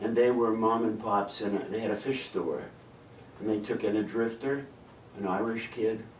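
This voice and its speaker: Over noticeable background noise and audible room echo, a man at a medium pitch speaks at a moderate pace in a monotone, flat intonation, with long, frequent pauses. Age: 80s+. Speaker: film director. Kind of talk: casual chat. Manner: halting, with false starts.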